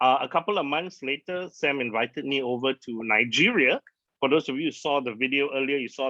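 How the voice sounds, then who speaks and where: A man talks at a fairly quick pace in an unremarkable speaking voice with ordinary pitch variation. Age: 40s. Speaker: digital marketer. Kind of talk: presentation to audience.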